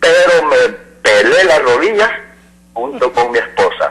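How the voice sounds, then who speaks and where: Noticeable noise fills the background. Over it comes a man's voice. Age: 60s. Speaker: caller, laborer. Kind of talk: call-in opinion.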